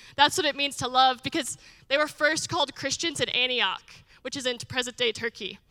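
A woman talks at a fairly quick pace in a raised, projected voice. Her tone is bright and sharp, and her pitch is high. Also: ordinary pitch variation. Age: 20s. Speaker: missionary. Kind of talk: testimony. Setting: church.

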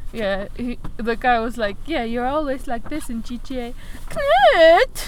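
Very slowly and with a playful tone, a woman speaks at a high pitch with ordinary pitch variation over noticeable background noise. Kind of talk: casual chat. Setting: in a car during a snowstorm. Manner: playful, giggly.

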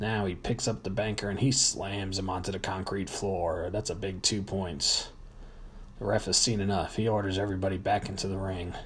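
Fairly low-pitched, somewhat breathy male voice with monotone, flat intonation and a moderate pace. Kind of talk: live wrestling commentary, play-by-play of a staged match with ring announcements. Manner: announcer-style showmanship, hyping storylines and rivalries.

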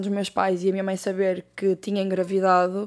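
A woman speaks at a medium pitch and a fairly slow pace with monotone, flat intonation. The recording is very clean, with a silent background. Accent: European Portuguese. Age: 20s. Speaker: podcast host. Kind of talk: casual solo monologue.

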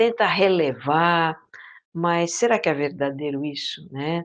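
A woman at a very slow pace, fairly low in pitch, with ordinary pitch variation, against a quiet background. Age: 50s. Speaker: podcaster on mindfulness and inner life. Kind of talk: interview conversation. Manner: hesitant, many fillers.

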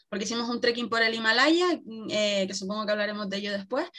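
The woman's voice is bright and sharp in tone, with a fairly high pitch. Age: 20s. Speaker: traveler. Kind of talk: casual interview.

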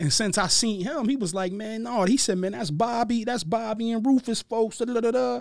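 Speaking at a fairly quick pace with hardly any pauses, a man with an American accent uses a high pitch and ordinary pitch variation in a very clean recording with a silent background. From Harrisburg, Pennsylvania. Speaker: rapper. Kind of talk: casual chat.

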